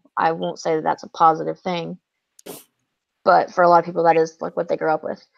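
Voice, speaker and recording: In a Southern US accent, a woman speaks at a fairly low pitch. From US South. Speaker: booktuber sharing mental health story. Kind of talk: personal testimony.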